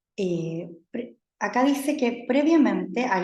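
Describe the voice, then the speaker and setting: Her voice carries a somewhat breathy quality. The speaker is a woman. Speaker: university lecturer. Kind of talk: lecture. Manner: halting, many fillers. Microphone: speaking close to laptop mic.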